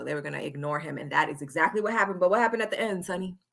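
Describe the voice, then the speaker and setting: A woman's animated voice, bright and sharp in tone, with lively intonation. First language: Spanish. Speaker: wrestling podcast host. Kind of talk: live stream wrestling chat.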